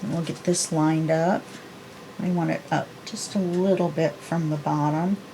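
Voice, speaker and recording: Music plays in the background. A woman speaks with monotone, flat intonation. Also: moderate pace. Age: 60s. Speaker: papercraft video creator. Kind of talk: tutorial; casual chat. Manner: casual, chatty.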